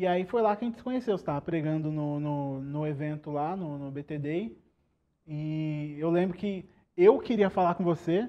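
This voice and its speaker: The speaker uses an ordinary speaking voice at a moderate pace, with ordinary pitch variation. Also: man, fairly high pitch for a man. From Brazil, São Paulo state (Guarulhos, Araras). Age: 20s. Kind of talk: podcast interview.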